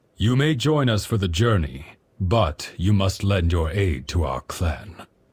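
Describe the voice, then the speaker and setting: At a fairly slow pace, a man performs a put-on character voice pitched fairly low. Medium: video game. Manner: measured, authoritative.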